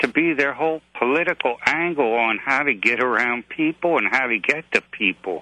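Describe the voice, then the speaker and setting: A man's bright, sharp voice with lively intonation at a moderate pace, in a dry, close sound with no echo. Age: 60s. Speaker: caller, navy veteran. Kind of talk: radio call-in.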